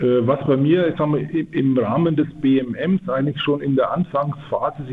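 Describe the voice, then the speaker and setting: Over noticeable background noise, a man talks at a moderate pace and a fairly high pitch. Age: 50s. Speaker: production engineer. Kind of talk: radio interview.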